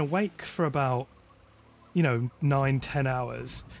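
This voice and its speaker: This speaker has a West Midlands accent and ordinary pitch variation. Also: man. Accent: mild West Midlands English. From West Midlands, England. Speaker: sim racing streamer. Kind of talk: casual live stream chat. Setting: live stream while gaming.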